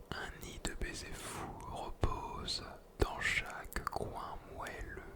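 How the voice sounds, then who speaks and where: A man whispers at a very slow pace. Noticeable background noise runs under his voice. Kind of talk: poetry reading. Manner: whispered.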